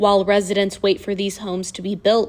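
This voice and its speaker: A woman speaks in an unremarkable speaking voice. Her pace is moderate. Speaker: student news anchor and reporter. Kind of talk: TV news package voice-over.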